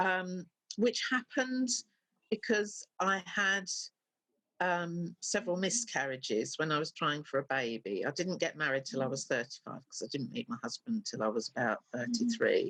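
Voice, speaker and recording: A woman with a medium-pitched voice and vocal fry talks at a moderate pace, her pitch swinging very widely. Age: 60s. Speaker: self-published novelist. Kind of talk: casual chat. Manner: halting.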